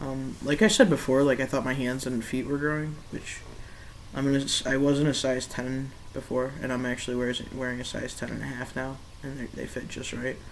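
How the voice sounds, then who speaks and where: At a fairly quick pace, a man speaks at a medium pitch with monotone, flat intonation. Audible room echo surrounds his voice. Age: 20s. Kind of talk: casual video diary. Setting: laptop webcam recording. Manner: hesitant, many fillers.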